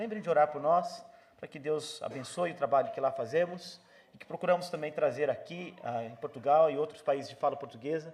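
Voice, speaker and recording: Loudness swings widely in this fairly quick delivery, which has ordinary pitch variation. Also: man. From Brazil. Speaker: visiting pastor. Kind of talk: church greeting and prayer. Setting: church. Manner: hesitant, many fillers.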